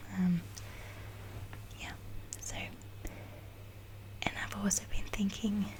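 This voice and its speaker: Someone speaks at a very slow pace with long, frequent pauses against noticeable background noise. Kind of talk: ASMR ramble, soft self-reflective talk. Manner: slow, reflective, hesitant with filler words.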